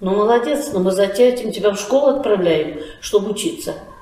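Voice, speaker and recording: Noticeable background noise and audible room echo surround the recording. A woman talks with lively intonation. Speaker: folk arts school director. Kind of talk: interview. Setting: at her school.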